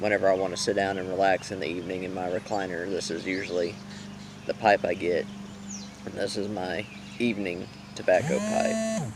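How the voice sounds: Fairly low male voice with fairly even intonation and long, frequent pauses over noticeable background noise.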